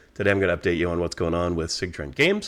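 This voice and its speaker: A man speaks in a very deep, low pitch. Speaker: game designer. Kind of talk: casual vlog update. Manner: low, quiet tone.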